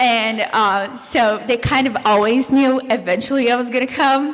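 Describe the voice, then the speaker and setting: A woman speaks at a moderate pace in a fairly high pitch with fairly even intonation, and noticeable background noise is present. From Brazil. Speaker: former exchange student, college student. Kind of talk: panel discussion.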